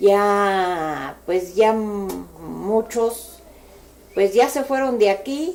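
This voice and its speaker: With a central Mexican accent, a woman speaks at a very slow pace, her pitch medium with ordinary variation. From Mexico City, Cuajimalpa. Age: 60s. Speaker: local elder sharing memories. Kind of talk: oral history interview. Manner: hesitant, with fillers.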